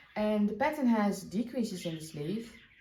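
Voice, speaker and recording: A woman speaks at a moderate pace with a dark, mellow tone, vocal fry and ordinary pitch variation. Audible room echo surrounds her voice. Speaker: knitting podcaster. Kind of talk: casual chat.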